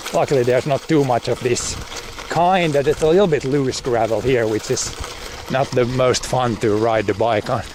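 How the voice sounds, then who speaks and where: A man speaks with a Finland Swedish accent and ordinary pitch variation. His loudness stays very even against noticeable background noise. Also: medium pitch for a man, moderate pace. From Finland, Swedish-speaking area. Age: 40s. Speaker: farmer and streamer. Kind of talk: casual livestream chat. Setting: outdoors, cycling on gravel. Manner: halting, with fillers and repetitions.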